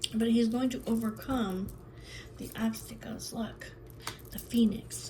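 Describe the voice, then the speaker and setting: A woman speaks at a fairly slow pace. Room echo and background noise are both noticeable. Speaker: tarot reader. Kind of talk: tarot reading monologue. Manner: repetitive, chatty.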